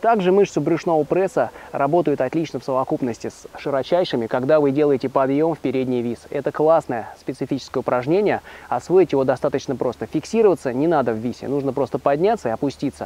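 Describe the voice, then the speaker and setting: Words come at a very fast pace from a man, his pitch varying in an ordinary way. The recording is dry, without any echo. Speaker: fitness trainer. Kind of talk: tutorial. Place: forest. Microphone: lapel.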